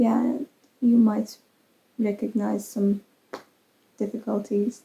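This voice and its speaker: A woman's fairly high voice with a Persian accent, fairly even intonation and a fairly slow pace. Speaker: crochet vlogger and English teacher. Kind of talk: casual vlog talk. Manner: hesitant, with fillers.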